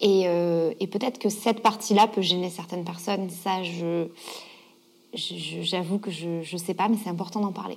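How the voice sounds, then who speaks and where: A woman with a normal speaking voice talks at a fairly slow pace, using a medium pitch and fairly even intonation. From southern France, Gard. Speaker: yoga teacher and author. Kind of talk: interview.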